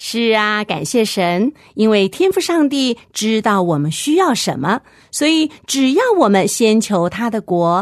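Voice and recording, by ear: Someone reading aloud in a natural voice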